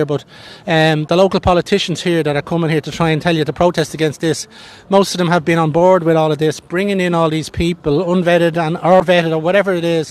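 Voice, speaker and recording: In an Irish accent, a man rattles along at a very fast pace with a high pitch and monotone, flat intonation. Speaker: independent street interviewer. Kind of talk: street interview questions.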